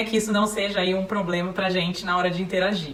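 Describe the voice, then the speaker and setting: A woman speaks in a monotone, flat intonation at medium pitch, with audible room echo and noticeable background noise. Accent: Paraná. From Paraná, Brazil (Maringá). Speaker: parenting speaker, psychology. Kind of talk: talk to parents.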